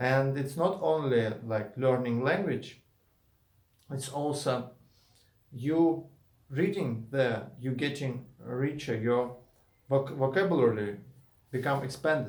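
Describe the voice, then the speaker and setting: At a very slow pace with long, frequent pauses, a man with a Russian accent shows ordinary pitch variation in audible room echo. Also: medium pitch for a man. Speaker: YouTuber and indie game developer. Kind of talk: casual vlog monologue. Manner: halting, with many fillers and restarts.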